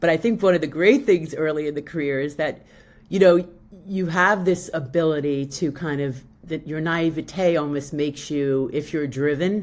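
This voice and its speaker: A woman's very deep, low voice in a New York accent, at a moderate pace, with ordinary pitch variation. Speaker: public relations professional. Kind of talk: podcast interview. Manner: halting, many fillers.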